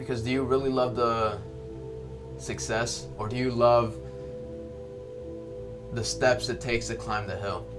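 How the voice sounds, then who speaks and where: A man with a medium-pitched voice and lively intonation talks at a moderate pace, leaving long, frequent pauses, while music plays in the background. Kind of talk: motivational talk to camera. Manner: hesitant, with pauses and stutters.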